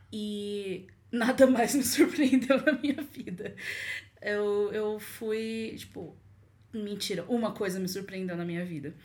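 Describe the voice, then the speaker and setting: Somewhat breathy, a woman speaks at a fairly high pitch and a very slow pace. Her loudness swings widely. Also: ordinary pitch variation. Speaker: podcast guest, student. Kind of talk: casual chat.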